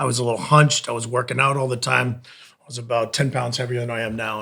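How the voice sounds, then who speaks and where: Noticeable background noise surrounds a man speaking with a Boston accent. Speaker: Pilates instructor. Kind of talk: casual chat.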